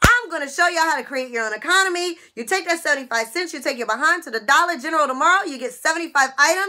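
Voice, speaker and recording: In a raised, projected voice, a woman with a high pitch speaks at a very fast pace with hardly any pauses, lively intonation and an animated tone. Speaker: YouTuber sharing couponing and money-saving tips. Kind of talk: casual vlog monologue to viewers. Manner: animated, chatty. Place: office. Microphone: webcam.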